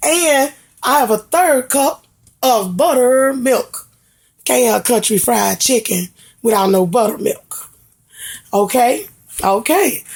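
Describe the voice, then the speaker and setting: A woman with a high voice talks very slowly, her pitch swinging very widely, her loudness very even, and long pauses coming often. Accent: Mississippi. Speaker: home cook, cooking channel host. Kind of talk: cooking tutorial. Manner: casual, chatty.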